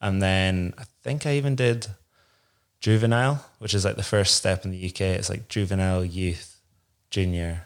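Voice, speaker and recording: A man with a Scottish Highland accent speaks at a moderate pace in a very deep, low voice with ordinary pitch variation, on a very clean recording with a silent background. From Inverness, Scotland. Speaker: downhill mountain bike racer. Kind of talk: casual interview chat. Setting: studio.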